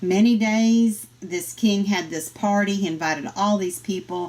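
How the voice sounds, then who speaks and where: Speaking with a Southern US accent, a woman keeps a medium pitch and a fairly slow pace. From US South. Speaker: Bible study teacher. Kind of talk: Bible study lesson.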